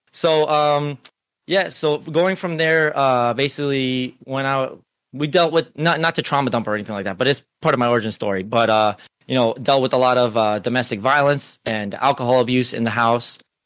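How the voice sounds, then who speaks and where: A man with a normal speaking voice talks at a fairly quick pace. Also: medium pitch for a man, ordinary pitch variation. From US, Cuban-American family. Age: 30s. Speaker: streamer and security manager. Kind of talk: casual chat.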